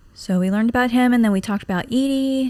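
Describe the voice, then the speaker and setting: A soft-spoken voice with ordinary pitch variation. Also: woman. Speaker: gaming youtuber. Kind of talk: game playthrough commentary. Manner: calm, not giggly.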